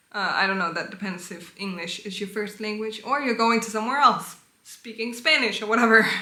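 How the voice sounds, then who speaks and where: Moderate speed and a fairly high pitch from a woman, her pitch varying in an ordinary way, with audible room echo. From Denmark. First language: Danish. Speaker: vlogger. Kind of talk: casual advice talk.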